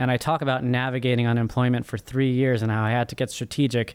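The speaker is a man with a monotone, flat delivery. He goes at a fairly quick pace. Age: 30s. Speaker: first-time author and finance professional. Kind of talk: interview.

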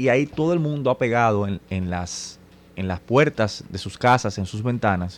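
Against a quiet background, a man speaks at medium pitch. His pitch variation is ordinary. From Dominican Republic, Santo Domingo. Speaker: radio host and political activist. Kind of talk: political talk radio discussion. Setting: radio studio.

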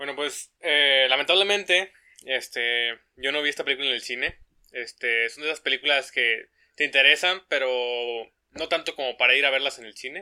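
A man's normal speaking voice, fairly high in pitch, at a moderate pace, with ordinary pitch variation and big swings in loudness. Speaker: podcast co-host, engineering student. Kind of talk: casual chat. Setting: home recording.

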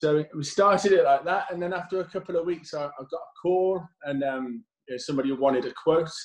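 A man talks at a fairly quick pace in a normal speaking voice. His intonation is lively. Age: 30s. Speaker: removals company owner. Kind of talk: casual chat. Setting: video call.

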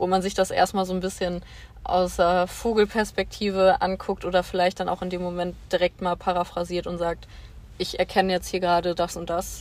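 A woman of medium pitch talks at a moderate pace with monotone, flat intonation. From western Germany, Bonn. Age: 20s. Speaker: social worker. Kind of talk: casual chat.

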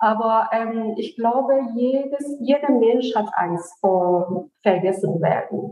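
A woman's fairly high voice with a Persian accent, ordinary pitch variation and a very slow pace. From Iran, Isfahan. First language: Persian (speaking German). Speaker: author. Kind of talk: interview. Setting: remote virtual recording. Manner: hesitant, many fillers.

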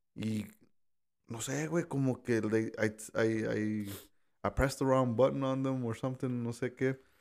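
A man speaks at a fairly slow pace with long, frequent pauses. His pitch is medium and his intonation fairly even. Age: 30s. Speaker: podcast guest. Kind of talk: casual chat.

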